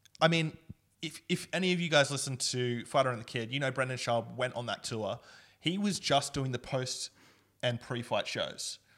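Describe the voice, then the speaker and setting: A man speaks with an Australian accent at a medium pitch. His pace is moderate and his pitch variation ordinary. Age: 20s. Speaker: podcast co-host. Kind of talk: casual chat.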